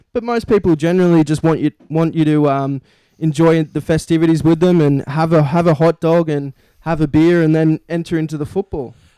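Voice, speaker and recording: In a dry, close sound with no echo, a man with a fairly high pitch and a dark, mellow tone speaks at a fairly quick pace with fairly even intonation. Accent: Australian. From Australia. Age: young. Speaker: sports podcast co-host. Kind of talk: casual chat.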